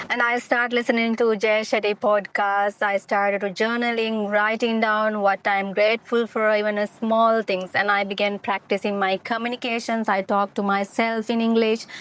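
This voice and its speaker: A woman with a fairly high pitch speaks in a monotone, flat intonation at very even loudness, with hardly any pauses. The sound is dry and close with no echo, in a very clean recording with a silent background. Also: moderate pace. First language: not English. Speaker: motivational podcaster. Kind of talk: casual monologue. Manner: halting.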